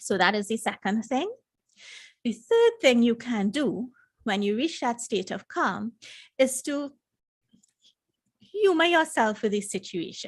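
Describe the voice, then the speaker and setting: Soft-spoken and fairly slow, a woman with a fairly high pitch and lively intonation leaves long, frequent pauses. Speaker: emotional intelligence coach. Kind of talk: live stream talk. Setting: live stream.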